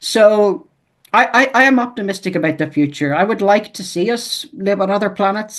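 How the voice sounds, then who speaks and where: Moderate-paced speech from a man, quiet background. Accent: Irish. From Ireland. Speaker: author and editor. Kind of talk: interview. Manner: hesitant, repeats words.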